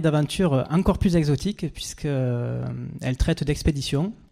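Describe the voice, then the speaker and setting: A man with a Provençal accent speaks in a fairly high voice. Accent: singsong southern French (Provence). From southern France, Avignon. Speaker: expedition adventurer, speaker. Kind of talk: stage talk.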